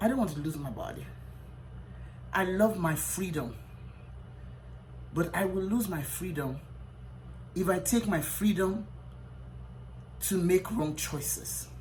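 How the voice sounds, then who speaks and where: Audible room echo surrounds a woman who talks at a fairly slow pace, leaving long, frequent pauses. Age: 60s. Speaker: physician. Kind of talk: motivational talk. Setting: hotel room. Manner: emphatic, repeats lines.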